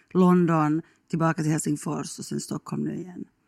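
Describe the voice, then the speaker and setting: In a very clean recording with a silent background and a dry, close sound free of echo, a woman speaks at a moderate pace with a fairly low pitch and fairly even intonation. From Finland, Ostrobothnia (Kronoby, near Jakobstad). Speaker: radio journalist, travel show host. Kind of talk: casual chat.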